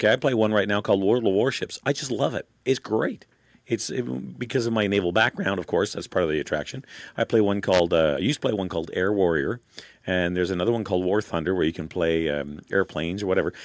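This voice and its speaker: Over a quiet background, a man with an Ontario accent talks very fast in a very deep, low pitch with lively intonation. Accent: Canadian (Ontario). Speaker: talk radio host. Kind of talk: talk radio monologue. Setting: studio.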